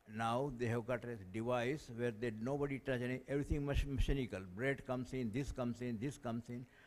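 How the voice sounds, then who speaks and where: Fairly quick speech from a man with an Indian accent, medium pitch and fairly even intonation. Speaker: audience member asking a question. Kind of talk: Q&A question from the floor.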